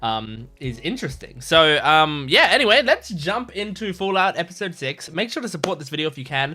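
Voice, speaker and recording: A man with an Australian accent talks at a fairly quick pace. There is noticeable background noise. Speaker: YouTube reaction creator. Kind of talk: casual chat. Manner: halting, stumbling over words.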